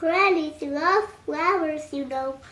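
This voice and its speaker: In a put-on character voice, a woman sounds squeaky and high-pitched. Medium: read story. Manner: polite, oily, scheming.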